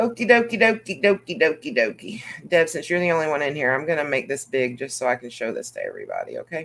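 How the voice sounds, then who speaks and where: Speaking very fast with a Southern US accent, a woman's fairly low voice makes very wide pitch swings and big swings in loudness. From US South. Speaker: YouTube coloring channel host. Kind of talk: casual chat. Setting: video call. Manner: animated.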